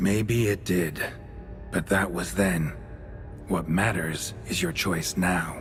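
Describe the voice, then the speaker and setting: A man puts on a character voice with a very deep, low pitch. He goes at a very slow pace over clear background music. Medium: game stream. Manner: terse, dry.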